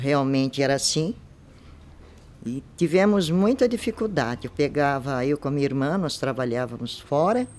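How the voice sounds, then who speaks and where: A woman with a very deep, low pitch and lively intonation at a moderate pace. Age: 70s. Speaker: local resident giving testimony. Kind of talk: oral history interview.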